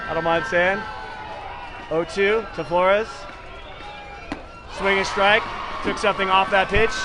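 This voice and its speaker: Against noticeable background noise and audible room echo, a raised, projected voice moves at a fairly slow pace with fairly even intonation and long, frequent pauses. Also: man, high pitch for a man. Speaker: baseball play-by-play commentator. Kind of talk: live commentary. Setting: small broadcast room at packed stadium.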